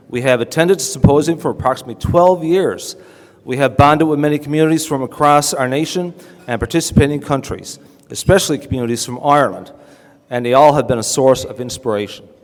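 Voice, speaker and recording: A man with a Newfoundland accent talks at a very fast pace. His pitch is fairly high, with ordinary variation. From Newfoundland, Canada. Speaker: town mayor. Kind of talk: awards ceremony speech.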